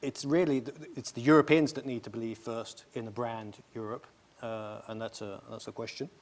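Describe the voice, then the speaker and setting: This man speaks at medium pitch with ordinary pitch variation. His pace is moderate. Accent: British. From Britain. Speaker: travel industry panelist. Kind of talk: panel discussion.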